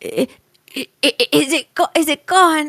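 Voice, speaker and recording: In a put-on character voice, the speaker talks at a moderate pace, high-pitched and shaky. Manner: trembling, frightened.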